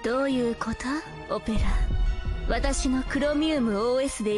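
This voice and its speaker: A woman keeps a moderate pace with music in the background. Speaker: voice actor. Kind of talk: voice acting demo.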